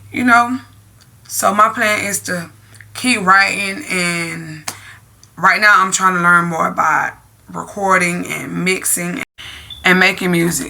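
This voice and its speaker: Very slow speech with long, frequent pauses and ordinary pitch variation, set against noticeable background noise. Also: woman. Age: 30s. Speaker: vlogger. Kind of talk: casual chat.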